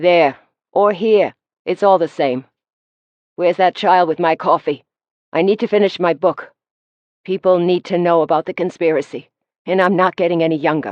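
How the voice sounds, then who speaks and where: Raspy put-on character voice at a moderate pace, fairly even in intonation, broken by long, frequent pauses. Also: woman, fairly low pitch for a woman. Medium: read story. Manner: crotchety, sharp-tongued.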